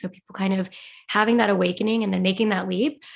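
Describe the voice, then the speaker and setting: Against a quiet background, a woman speaks at medium pitch with fairly even intonation. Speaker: podcast co-host. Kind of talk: interview.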